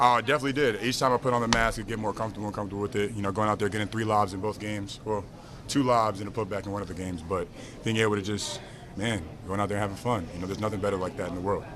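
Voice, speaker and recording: A man's very fast speech, fairly even in intonation, comes through noticeable background noise. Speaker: professional basketball player. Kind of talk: press interview.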